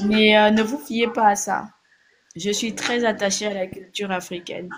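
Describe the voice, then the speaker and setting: This woman's voice sits fairly high. She takes a fairly slow pace. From Gabon. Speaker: blogger / online commentator. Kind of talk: casual direct-to-camera monologue. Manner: hesitant, many fillers.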